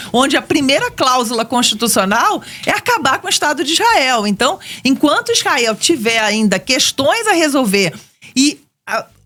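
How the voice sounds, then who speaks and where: Over noticeable background noise, a woman with a Rio de Janeiro accent speaks at a moderate pace in a raised, projected voice, high in pitch with very wide pitch swings. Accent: Rio de Janeiro (carioca). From Brazil, Rio de Janeiro. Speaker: economics professor. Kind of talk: radio interview.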